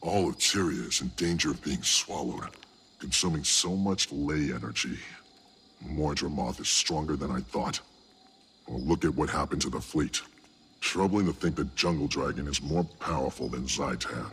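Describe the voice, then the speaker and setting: A man talks in a put-on character voice, pitched very deep and low, at a moderate speed. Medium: video game. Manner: steady, serious.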